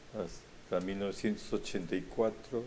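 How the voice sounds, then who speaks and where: A man with a dark, mellow tone and fairly low pitch speaks at a fairly slow pace. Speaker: retired journalist. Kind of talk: conversational interview.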